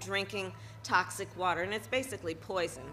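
Faint music plays behind a woman as she talks. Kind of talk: public speech. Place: street. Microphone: podium.

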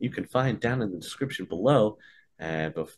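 Here a man is speaking. His intonation is lively. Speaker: game master host. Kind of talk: stream host intro and sponsor read. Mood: cheerful, smiling. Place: home room.

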